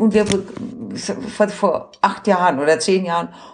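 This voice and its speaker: Noticeable background noise sits behind a woman speaking at a medium pitch. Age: 60s. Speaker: doctor in human rights committee. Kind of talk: casual chat. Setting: at home in her apartment.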